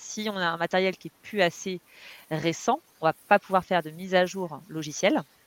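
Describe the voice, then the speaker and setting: A woman speaks in a fairly low voice with ordinary pitch variation. The sound is dry and close with no echo, on a very clean recording with a silent background. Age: 40s. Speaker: digital communication consultant and trainer. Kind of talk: interview. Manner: hesitant, many fillers.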